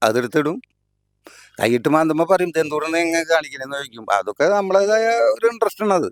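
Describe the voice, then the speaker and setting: A man's fairly high-pitched voice with lively intonation, in a very clean recording with a silent background, dry and close with no echo. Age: 60s. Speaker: farmer. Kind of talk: interview. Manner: halting.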